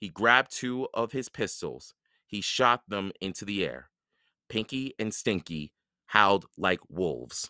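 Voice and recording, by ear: A quiet background behind someone reading aloud in a natural voice, pitch rising and falling in an ordinary way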